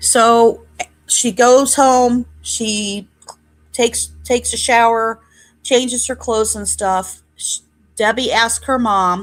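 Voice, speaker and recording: A woman with an American accent speaks at a very slow pace. Her pitch sits fairly high, and her intonation stays fairly even. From Northwest Indiana, Hammond. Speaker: true crime streamer. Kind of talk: live stream narration. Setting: live stream with chat. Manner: loud.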